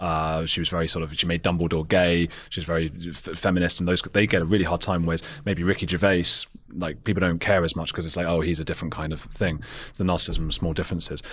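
With a London accent, a man talks very fast in a very deep, low, flat monotone over a quiet background. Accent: southern English (London). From England (London). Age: 30s. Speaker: podcast host. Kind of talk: interview debate. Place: studio. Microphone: studio mic.

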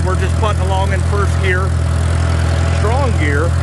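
A man speaks at a moderate pace. The sound is dry with no echo, and the background noise is loud. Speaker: antique tractor hobbyist. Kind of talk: casual vlog chat. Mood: relaxed, folksy. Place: farm machine. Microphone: phone near.

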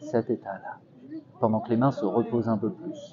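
A soft-spoken man with a gentle tone talks at a moderate pace over noticeable background noise. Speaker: street hypnotist. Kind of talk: hypnosis induction, guided relaxation. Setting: outdoors, in a park. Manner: soft-spoken, repetitive, gentle. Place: garden. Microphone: lapel.

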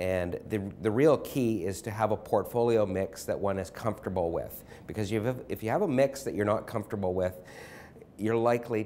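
Against light background noise, a man speaks at a moderate pace in a dark, mellow, fairly low voice with ordinary pitch variation. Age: 40s. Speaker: financial advisor. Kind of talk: interview. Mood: friendly, calm, smiling. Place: office. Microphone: lapel.

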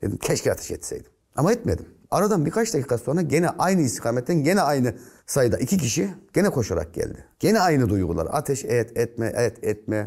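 Against a quiet background, a man speaks fairly quickly with vocal fry. His pitch swings very widely. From Central Anatolia, Turkey (Nevşehir); Central Anatolia, Turkey. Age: 50s. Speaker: retired gendarmerie officer; guest. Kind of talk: interview storytelling. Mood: earnest, emotional storytelling. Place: studio. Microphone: lapel.

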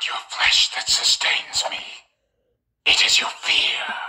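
A put-on character voice, raspy and extremely high in pitch. It moves at a fairly slow pace. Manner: creepy, menacing.

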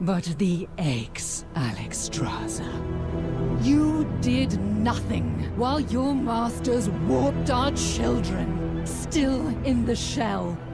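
A woman puts on a character voice at a very slow pace, her fairly high pitch making big swings with vocal fry. Clear music plays in the background.

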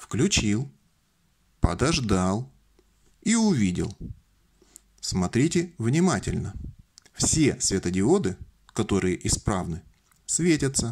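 A man speaks at a very slow pace with long, frequent pauses and very wide pitch swings. Noticeable background noise sits under the recording. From Russian Far East, Vladivostok; Russia. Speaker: electronics DIY video maker; electronics hobbyist demonstrating. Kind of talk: tutorial. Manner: jokey, informal. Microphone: phone near.

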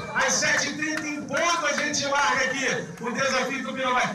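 A man's raised, projected voice at an extremely high pitch, moderate pace, audible room echo and music in the background. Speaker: event announcer (locutor). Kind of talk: live race-start announcement to a crowd. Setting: outdoors at a race event, PA system. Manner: energetic, enthusiastic. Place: street.

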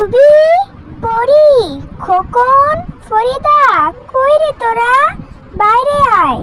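A woman uses a squeaky, cartoonish character voice at an extremely high pitch. She goes at a very slow pace with ordinary pitch variation. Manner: warm, affectionate, decisive.

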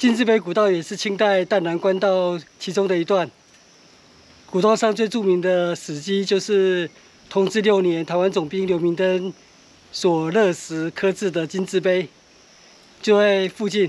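Speaking in a high voice with fairly even intonation, a man leaves long, frequent pauses. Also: fairly slow pace. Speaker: hiking vlogger. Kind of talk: travel vlog narration. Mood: calm, informative, cheerful. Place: open country. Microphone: phone near.

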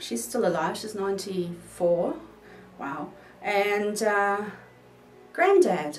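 Over music in the background and audible room echo, a woman with a New Zealand accent speaks at a very slow pace. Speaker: vlogger. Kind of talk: casual talk to camera. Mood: playful, jokey. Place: home room.

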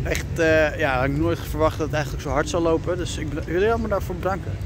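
The man's fairly quick speech comes through dry and echo-free, with noticeable noise behind it. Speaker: funfair vlogger. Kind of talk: casual vlog chat. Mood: warm, grateful, relaxed. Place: street. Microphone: phone near.

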